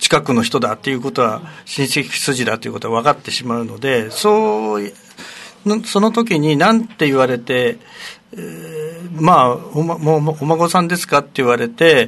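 Very wide pitch swings in a man's fairly high voice, at a moderate pace. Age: 60s. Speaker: retired primary school teacher. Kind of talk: radio interview.

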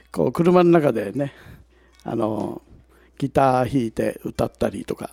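Speaking at a fairly slow pace with long, frequent pauses, a man of medium pitch uses lively intonation and a dark, mellow tone, captured with a dry, close sound with no echo. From Ishigaki, Yaeyama, Okinawa. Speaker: singer-songwriter. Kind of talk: casual chat. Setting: public recording with audience.

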